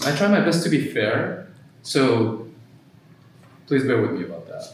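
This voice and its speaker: A fairly high-pitched man with a Japanese accent speaks at a moderate pace amid audible room echo and noticeable background noise. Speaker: mental health therapist. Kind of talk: workshop presentation. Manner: halting, many fillers.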